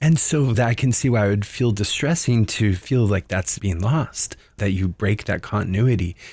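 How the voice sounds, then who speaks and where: In a very clean recording with a silent background, a man speaks at a moderate pace with lively intonation. His voice is fairly low in pitch and somewhat breathy. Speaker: podcast host. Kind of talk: interview.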